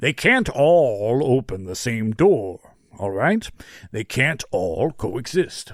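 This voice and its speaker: In a put-on character voice at medium pitch, a man speaks at a very slow pace on a very clean recording with a silent background. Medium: read story. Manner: explanatory, blunt.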